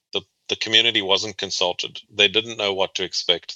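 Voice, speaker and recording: Against a quiet background, a man with a South African accent speaks at a fairly quick pace in a very deep, low pitch with a bright, sharp tone and monotone, flat intonation, the sound dry and close with no echo. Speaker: transportation planner and researcher. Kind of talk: interview.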